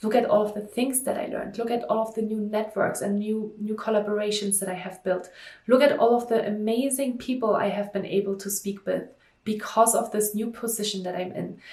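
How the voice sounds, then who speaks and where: A somewhat breathy, fairly high-pitched woman's voice with a German accent, at a fairly quick pace with fairly even intonation and audible room echo. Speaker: stress management coach, entrepreneur. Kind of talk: vlog monologue to camera. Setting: talking to camera.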